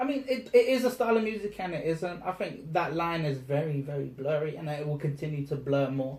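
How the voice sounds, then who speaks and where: A man speaks with a somewhat breathy voice and a South London accent. His pitch sits fairly high. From South London, England. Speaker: rapper. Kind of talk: interview. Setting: in person, London.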